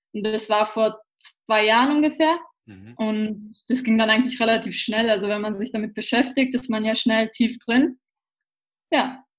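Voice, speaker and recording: Speaking at a moderate pace, a woman with a fairly high pitch sounds somewhat breathy and keeps a fairly even intonation. Her loudness swings widely, and she leaves long, frequent pauses. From Austria, Vienna. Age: 20s. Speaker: personal development trainer. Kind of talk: casual interview.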